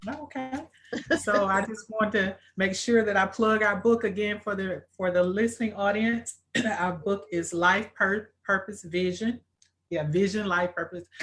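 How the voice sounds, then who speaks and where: Someone with an American accent and a normal speaking voice talks at a fairly slow pace with ordinary pitch variation. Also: woman, medium pitch for a woman. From rural US. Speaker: interviewer and book co-author. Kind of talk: live interview.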